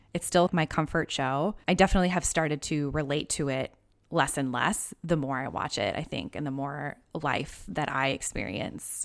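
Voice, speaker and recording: This woman's voice sits at a very deep, low pitch and carries vocal fry. She speaks with an American accent. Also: ordinary pitch variation, moderate pace. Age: 30s. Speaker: podcast host. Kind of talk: casual interview chat. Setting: remote call.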